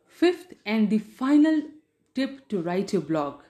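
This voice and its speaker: With an Indian accent, a woman speaks at a very slow pace, her pitch swinging very widely. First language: Hindi. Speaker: podcast host and writer. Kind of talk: tutorial.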